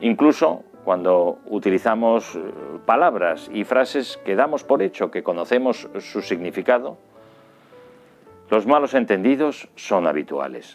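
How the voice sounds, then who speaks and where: Faint music plays in the background as a man speaks at a fairly slow pace with lively intonation. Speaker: journalist, communication teacher, radio and TV presenter. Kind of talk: educational course introduction to camera. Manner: polished, articulate, professional broadcaster delivery. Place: home room. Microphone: studio mic.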